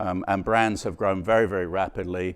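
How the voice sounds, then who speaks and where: With an English accent, a man talks at a moderate pace in a very deep, low pitch and fairly even intonation, over a quiet background. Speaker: company president giving conference keynote. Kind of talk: conference keynote talk.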